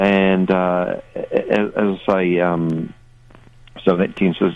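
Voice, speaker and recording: A New Zealand accent comes through here. The speaker is a man. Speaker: touring musician. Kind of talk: radio interview chat. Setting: phone call. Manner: laid-back, hesitant, wry.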